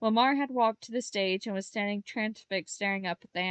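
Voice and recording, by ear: This is someone reading aloud in a natural voice with ordinary pitch variation. The background is quiet.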